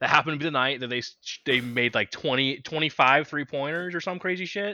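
An unremarkable speaking voice from a man with an American accent, at a fairly quick pace with lively intonation. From Kansas City, Missouri. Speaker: podcast co-host. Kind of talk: casual chat.

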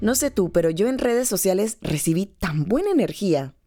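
A woman speaks at a moderate pace with a dark, mellow tone and lively intonation. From Panama. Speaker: podcast host and voice-over artist. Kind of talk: scripted narration.

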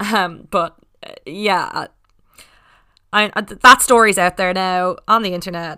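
A woman's bright, sharp tone at a fairly slow pace, with long, frequent pauses, big swings in loudness, fairly even intonation, and a very clean recording with a silent background. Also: medium pitch for a woman. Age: 20s. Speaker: podcast host. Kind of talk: casual monologue.

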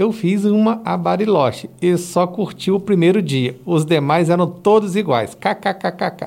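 This man talks at a fairly slow pace in a high pitch, with ordinary pitch variation. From Espírito Santo, Brazil. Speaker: podcast host. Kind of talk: casual interview chat.

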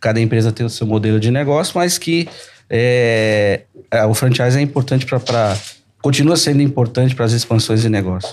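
An ordinary speaking voice at a moderate pace, with ordinary pitch variation and very even loudness. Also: man, medium pitch for a man. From Brazil, São Paulo. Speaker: entrepreneur. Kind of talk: podcast conversation.

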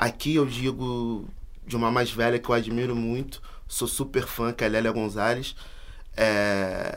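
Audible room echo around a man's medium-pitched, monotone, flat voice at a fairly slow pace. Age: 20s. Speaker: university student and activist. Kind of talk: casual chat.

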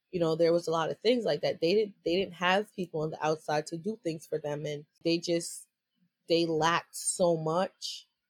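In a dry, close sound with no echo, a woman uses an ordinary speaking voice with fairly even intonation. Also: fairly low pitch for a woman, moderate pace. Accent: American. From New York. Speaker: entrepreneur and activist. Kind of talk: interview. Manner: casual, laughs often.

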